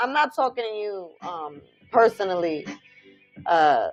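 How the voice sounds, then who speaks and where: With a New York accent, a woman speaks in an animated tone at a fairly high pitch with very wide pitch swings while music plays in the background. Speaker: spiritual livestream host.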